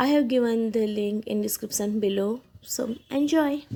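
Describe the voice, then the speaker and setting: A woman talks at a moderate pace with lively intonation. Her fairly high voice has a dark, mellow tone. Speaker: polymer clay artist. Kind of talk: voice-over presentation.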